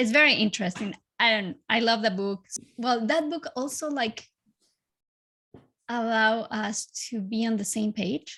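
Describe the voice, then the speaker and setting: A woman's bright, sharp voice with a Spanish accent, fairly high in pitch, at a fairly slow pace with long, frequent pauses and ordinary pitch variation, on a very clean recording over a silent background. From Chile. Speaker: life coach. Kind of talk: podcast interview.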